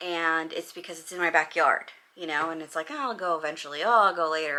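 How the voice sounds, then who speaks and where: A woman's bright, sharp tone with a Californian accent. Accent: Californian American English. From Los Angeles, US West Coast. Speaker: vlogger and real estate agent. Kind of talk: casual chat vlog. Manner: animated.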